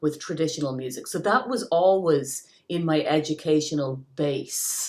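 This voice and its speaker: In an Irish accent, a woman speaks with lively intonation. Her pitch is very deep and low. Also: moderate pace. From Ireland, County Clare. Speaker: singer-songwriter. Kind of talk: interview answer.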